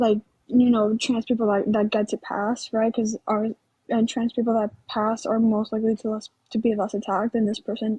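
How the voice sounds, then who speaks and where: Against a quiet background, a woman with a fairly high pitch speaks at a moderate pace, somewhat breathy, in a dark, mellow tone with monotone, flat intonation. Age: 19. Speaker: caller on a live stream. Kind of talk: casual live-stream discussion. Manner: shaky voice; halting, many fillers.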